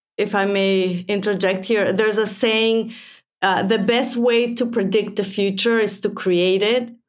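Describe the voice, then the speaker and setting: A woman with a fairly high voice talks fairly slowly and with fairly even intonation as room echo is audible. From Mexico. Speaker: physicist. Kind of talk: interview.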